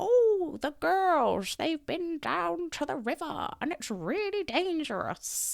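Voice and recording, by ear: A female-sounding put-on character voice hits an extremely high pitch. It runs on with hardly any pauses. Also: fairly slow pace.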